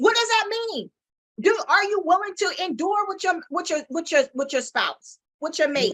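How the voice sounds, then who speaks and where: Loud and animated, the voice moves at a moderate pace with lively intonation. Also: woman, extremely high pitch for a woman. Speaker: talk show co-host. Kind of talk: casual chat.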